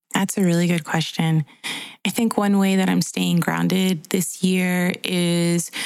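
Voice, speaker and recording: Amid noticeable background noise, a woman with an American accent talks at a fairly slow pace and medium pitch. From Guatemalan American. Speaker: podcast co-host and therapist. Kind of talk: casual chat.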